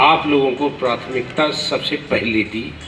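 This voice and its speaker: A man speaks in a Punjabi accent with a fairly high pitch and ordinary pitch variation. Music plays in the background. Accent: Punjabi-tinged Hindi. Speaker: senior lawyer addressing new advocates. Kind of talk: formal speech to an audience.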